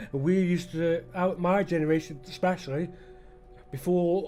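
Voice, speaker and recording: With music in the background, a man in a Potteries accent speaks at a high pitch in a monotone, flat intonation. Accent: Potteries dialect and. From England, the Potteries (Stoke-on-Trent). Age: 50s. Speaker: gaming YouTuber. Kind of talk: gameplay commentary rant. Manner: halting, many fillers and restarts.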